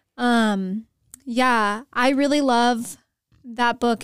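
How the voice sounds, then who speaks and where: The speaker has a plain, everyday voice with fairly even intonation, in a very clean recording over a silent background. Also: woman. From Texas, San Antonio. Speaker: university student, graphic designer and photographer. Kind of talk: casual interview chat.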